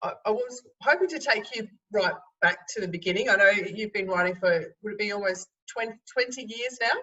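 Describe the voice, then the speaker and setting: A woman with an Australian accent talks at a fairly quick pace, her fairly high pitch showing ordinary variation. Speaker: interviewer. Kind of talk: interview. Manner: halting.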